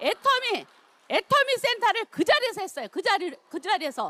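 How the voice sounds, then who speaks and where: In a raised, projected voice, a woman speaks at an extremely high pitch with very wide pitch swings. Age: 60s. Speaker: network marketing business leader. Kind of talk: seminar talk, personal success testimony.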